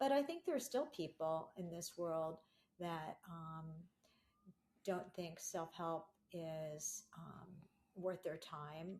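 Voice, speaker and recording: A somewhat breathy woman's voice, fairly low in pitch, at a very slow pace with big swings in loudness. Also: ordinary pitch variation. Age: 60s. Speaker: self-help author. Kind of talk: interview conversation. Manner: animated.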